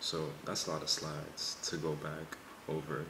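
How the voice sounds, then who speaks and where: Quiet speech with monotone, flat intonation comes through audible room echo and noticeable background noise. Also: man. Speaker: pre-med college student vlogger. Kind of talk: casual vlog. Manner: quiet, low voice.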